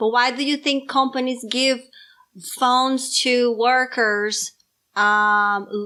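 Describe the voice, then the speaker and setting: In a very clean recording with a silent background, a woman speaks loudly at a very slow pace, her high-pitched voice bright and sharp with fairly even intonation. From Brazil. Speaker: parent podcast co-host. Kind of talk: casual chat.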